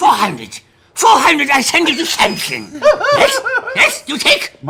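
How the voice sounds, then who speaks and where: Putting on a character voice, a man talks at a fairly slow pace and an extremely high pitch. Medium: actual play. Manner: repetitive, broken phrasing.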